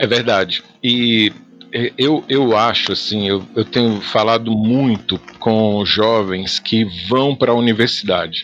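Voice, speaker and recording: The speech moves at a very slow pace with very even loudness. Background noise is noticeable. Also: man, medium pitch for a man, fairly even intonation. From Goiás, Brazil. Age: 40s. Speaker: pastor. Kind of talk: podcast interview.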